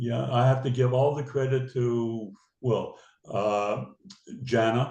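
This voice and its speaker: A man speaks very slowly at a medium pitch with monotone, flat intonation and long, frequent pauses. His tone is dark and mellow, somewhat breathy. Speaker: businessman and synagogue lay leader. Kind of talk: interview.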